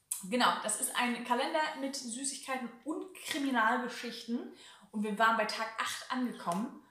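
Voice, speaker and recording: In a Hamburg accent, a woman with a high pitch speaks with ordinary pitch variation, with audible room echo around her. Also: moderate pace. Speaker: YouTuber. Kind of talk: casual chat. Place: home room.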